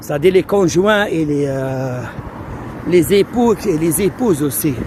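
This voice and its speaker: Over noticeable background noise, a man in an Algerian accent talks at a very slow pace with very wide pitch swings. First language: Algerian Arabic (speaking French). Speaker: immigration advice streamer. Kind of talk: live stream Q&A. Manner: hesitant, code-switching.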